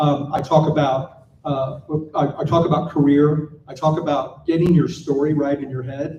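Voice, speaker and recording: An American-accented man speaks at a moderate pace with a fairly high pitch, a dark, mellow tone and a somewhat breathy quality, with audible room echo. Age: 60s. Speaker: panel speaker, designer and founder. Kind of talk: conference panel talk. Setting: stage with audience. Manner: animated storytelling.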